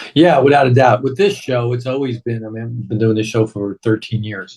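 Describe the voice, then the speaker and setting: Somewhat breathy, a man talks at a moderate pace and a medium pitch, with ordinary pitch variation. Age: 60s. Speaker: radio show host. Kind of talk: casual chat.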